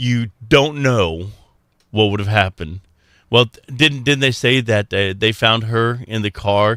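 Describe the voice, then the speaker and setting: On a very clean recording with a silent background, a man with an American accent speaks at a fairly slow pace in a bright, sharp tone with big swings in loudness. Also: medium pitch for a man, ordinary pitch variation, dry, close sound with no echo. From Texas. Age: 60s. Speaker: radio host. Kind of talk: casual chat. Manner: halting, many fillers.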